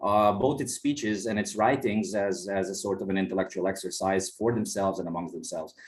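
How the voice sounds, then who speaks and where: Speaking with a fairly low pitch, a man shows ordinary pitch variation. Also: fairly quick pace, hardly any pauses. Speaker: historian of Ottoman religion, guest lecturer. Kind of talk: academic lecture. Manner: fast; halting, many repetitions and fillers.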